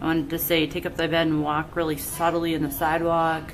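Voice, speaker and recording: A soft-spoken woman with a very deep, low pitch and an American accent speaks at a moderate pace in a monotone, flat intonation, with noticeable background noise and audible room echo. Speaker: painter. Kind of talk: tutorial. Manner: casual.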